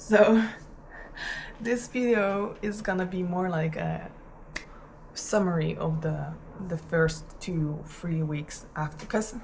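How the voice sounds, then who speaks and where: A woman with a fairly low pitch talks at a very slow pace with long, frequent pauses, over noticeable background noise and audible room echo. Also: ordinary pitch variation. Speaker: vlogger. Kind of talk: casual vlog monologue. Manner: halting, many fillers.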